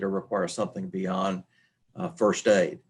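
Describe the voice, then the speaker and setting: A man speaks in an Arkansas accent. His pitch is fairly low. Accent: Southern US (Arkansas). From Arkansas, US South. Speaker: human resources leader. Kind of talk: webinar presentation. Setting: webinar.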